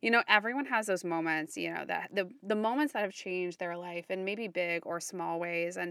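A woman with an ordinary speaking voice talks at a moderate pace in a medium pitch, on a very clean recording with a silent background. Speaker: podcast co-host. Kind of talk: casual interview conversation.

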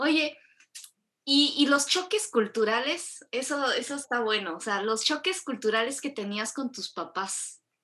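A woman's raised, projected high voice, bright and sharp in tone, with very wide pitch swings at a fairly slow pace. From Mexico. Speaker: podcast host. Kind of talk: casual chat.

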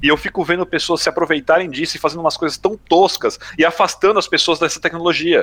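A high-pitched man rattles along at a very fast pace with hardly any pauses. His tone is bright and sharp, his intonation flat and monotone. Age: 40s. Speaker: gaming media professional. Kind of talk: casual chat.

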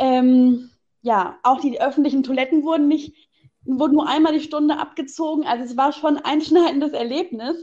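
A woman speaks at a moderate pace in a high pitch, her tone dark and mellow. Her intonation stays fairly even. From Hesse, Germany. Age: 20s. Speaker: local party spokesperson and law trainee. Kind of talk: casual interview. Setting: phone call.

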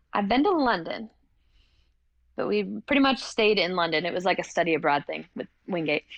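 Using vocal fry and an American accent, a woman at medium pitch talks at a fairly quick pace with very wide pitch swings and long, frequent pauses. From North Carolina (Hickory). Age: 30s. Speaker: CrossFit athlete and university lecturer. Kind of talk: casual interview. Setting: recording studio.

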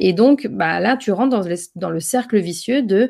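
Speaking fairly slowly, a woman with a medium pitch uses lively intonation. The recording is very clean with a silent background. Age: 30s. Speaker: entrepreneur, business founder. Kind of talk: interview conversation. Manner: halting, many fillers.

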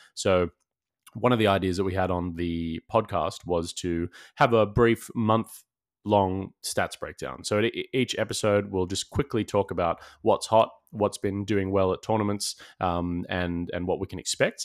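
With an Australian accent, a man talks at a moderate pace in a fairly low pitch and fairly even intonation, the sound dry and close with no echo on a very clean recording over a silent background. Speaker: podcast co-host, tabletop gamer, stream commentator. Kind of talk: casual chat.

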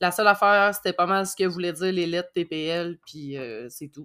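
On a very clean recording with a silent background, a woman speaks in a normal speaking voice, fairly low in pitch, with ordinary pitch variation at a moderate pace. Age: 30s. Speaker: dispatch assistant. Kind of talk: casual interview.

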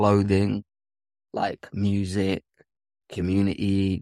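In a very clean recording with a silent background, a man speaks at a fairly low pitch in a dark, mellow tone. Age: 30s. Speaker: filmmaker. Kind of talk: interview.

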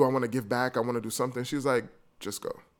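With a New York accent, a man of medium pitch talks at a very fast pace on a very clean recording with a silent background. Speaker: travel podcaster and blogger. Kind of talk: casual interview chat.

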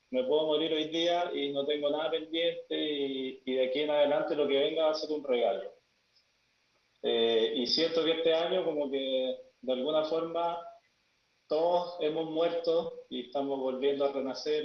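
This is a normal speaking voice from a man with a fairly high pitch. He talks at a moderate pace with ordinary pitch variation. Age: 40s. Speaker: death and grief guide. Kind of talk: panel discussion.

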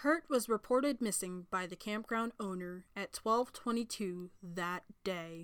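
A woman's plain, everyday voice at medium pitch, fairly slow in pace, with ordinary pitch variation. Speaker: podcast host. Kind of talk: true-crime narration. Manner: measured, solemn storytelling pace; formal, sympathetic tone.

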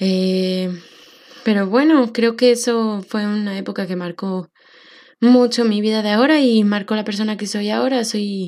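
At a moderate pace, a woman speaks with fairly even intonation. Her pitch is medium. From Mexico. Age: 20s. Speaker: podcast host and social worker. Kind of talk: personal monologue podcast.

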